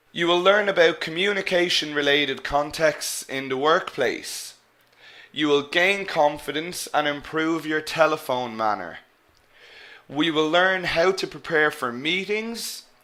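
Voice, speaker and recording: Speaking at a fairly slow pace, a man with an Irish accent has a fairly high pitch and ordinary pitch variation. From Ireland. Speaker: English teacher. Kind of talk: online lecture. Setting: live webinar.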